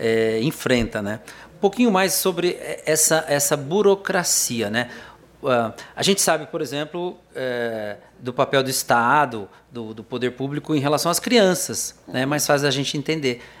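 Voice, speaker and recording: This is an unremarkable speaking voice. It moves at a fairly slow pace with lively intonation. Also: man, fairly high pitch for a man. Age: 60s. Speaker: TV talk show host. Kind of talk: interview.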